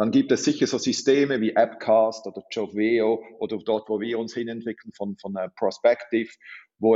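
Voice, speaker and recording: Here a man talks at a fairly slow pace. His pitch is medium. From Switzerland. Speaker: recruiting tech executive. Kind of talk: podcast interview.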